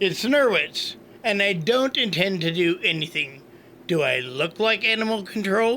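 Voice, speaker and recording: Putting on a character voice, a man speaks at a high pitch with lively intonation over clear background noise. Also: moderate pace. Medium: audio drama. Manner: dry, offhand.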